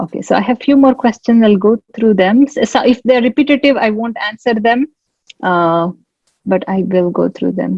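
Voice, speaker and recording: A woman's fairly high, somewhat breathy voice moves at a moderate pace, its pitch varying in an ordinary way. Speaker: veterinary scientist and researcher. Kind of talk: webinar Q&A advice. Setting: online webinar. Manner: casual, many fillers.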